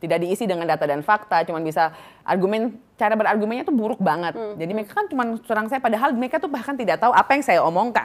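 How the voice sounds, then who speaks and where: Talking at a very fast pace, a woman uses lively intonation. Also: fairly high pitch for a woman. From Papua, Indonesia; Indonesia. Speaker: model and beauty pageant winner; podcast guest. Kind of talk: casual interview chat. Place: studio. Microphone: studio mic.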